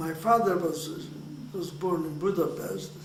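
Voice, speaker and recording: This man's voice is high-pitched for a man and delivered at a very slow pace with fairly even intonation. Noticeable background noise and audible room echo surround him. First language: Hungarian. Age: 80s+. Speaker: Holocaust survivor. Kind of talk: oral history interview. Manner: halting, many repeated words.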